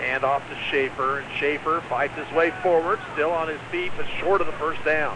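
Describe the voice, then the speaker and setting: With hardly any pauses, a man talks at a moderate pace and with fairly even intonation over noticeable background noise. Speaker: radio sports play-by-play announcer. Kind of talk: live radio play-by-play commentary of a high school football game. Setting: stadium press box, radio broadcast.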